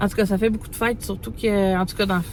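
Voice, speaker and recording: A woman speaks at a medium pitch in a Quebec accent. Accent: Québécois French. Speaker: mother vlogger. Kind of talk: casual vlog talk to camera. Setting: in a parked car. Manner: fast; hesitant, many fillers.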